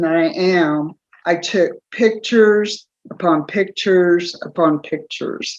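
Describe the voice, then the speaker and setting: A woman with a medium-pitched voice talks fairly slowly, showing ordinary pitch variation. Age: 60s. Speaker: interviewee sharing personal testimony. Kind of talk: testimony.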